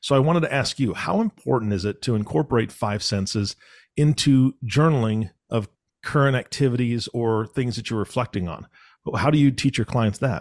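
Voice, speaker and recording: This is a plain, everyday voice at a moderate pace. The recording is very clean with a silent background and a dry, close sound with no echo. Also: man, medium pitch for a man, ordinary pitch variation. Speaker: podcast co-host. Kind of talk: casual chat.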